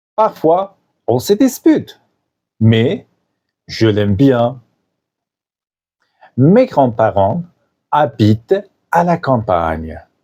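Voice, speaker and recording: Dark and mellow in tone, a man's medium-pitched voice moves at a very slow pace with long, frequent pauses, very wide pitch swings and very even loudness. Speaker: French teacher podcaster. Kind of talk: scripted narration for language learners. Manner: clear, simple.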